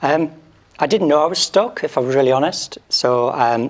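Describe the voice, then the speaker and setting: A man speaks over noticeable background noise. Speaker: doctor and medical training business founder. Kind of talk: panel discussion.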